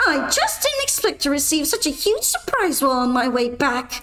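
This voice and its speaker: Putting on a character voice, a woman speaks high-pitched at a moderate pace. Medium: virtual streamer. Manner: cold, mocking.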